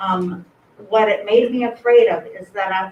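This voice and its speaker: This woman's voice is fairly high and shaky. Her pace is moderate. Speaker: member of the public commenting. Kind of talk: public comment speech. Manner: shaky voice.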